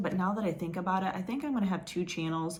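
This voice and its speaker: A woman's fairly low voice, very fast, with ordinary pitch variation and audible room echo. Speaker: crochet vlogger. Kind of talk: casual vlog chat.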